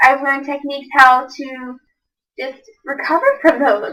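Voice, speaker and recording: A woman with a high pitch and a bright, sharp tone. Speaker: college student. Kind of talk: class assessment speech. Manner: fast; rushed, words run together.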